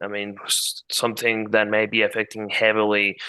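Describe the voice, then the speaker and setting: Against a quiet background, a man with a fairly low pitch and a bright, sharp tone speaks at a moderate pace. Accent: Spanish. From Mexico. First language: Spanish. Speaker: market analyst. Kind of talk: interview with screen-share tutorial.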